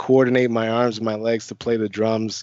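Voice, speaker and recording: This is a man speaking. He has a Chicago accent. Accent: faint Chicago. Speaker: network engineer. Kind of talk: casual chat. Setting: video call.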